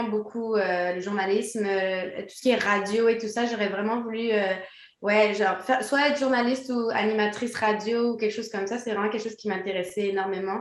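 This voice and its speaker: A fairly high-pitched woman at a moderate pace, monotone and flat, with noticeable background noise and audible room echo. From Quebec. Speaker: DJ and former professional dancer. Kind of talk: interview.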